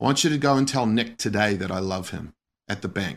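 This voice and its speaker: A man with an Australian accent talks at a fairly quick pace with lively intonation. The recording is very clean, with a silent background. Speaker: missionary pastor. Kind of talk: interview testimony.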